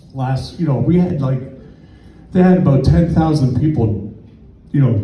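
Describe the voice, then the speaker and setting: In a Canadian accent, a man with a fairly high pitch uses lively intonation, with audible room echo and noticeable background noise. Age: 60s. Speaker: stand-up comedian. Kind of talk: stand-up. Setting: comedy club stage with audience.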